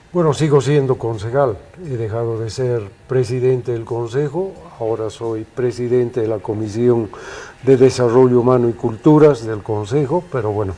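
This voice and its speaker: A man at a medium pitch shows ordinary pitch variation, with noticeable background noise behind him. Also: moderate pace. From Bolivia, La Paz. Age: 60s. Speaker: film critic and city councillor. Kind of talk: interview.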